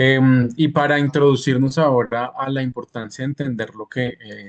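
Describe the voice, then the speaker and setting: The sound is dry and close, with no echo. A man speaks at a medium pitch and a moderate pace. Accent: Bogotá. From Bogotá, Colombia. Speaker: interviewer and postdoctoral researcher. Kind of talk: interview conversation in a live conference.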